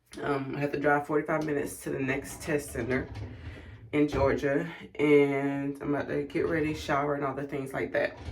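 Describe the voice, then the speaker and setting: Against noticeable background noise, a woman with a very deep, low pitch speaks in a monotone, flat way. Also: moderate pace. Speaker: vlogger and Air Force officer applicant. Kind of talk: casual vlog.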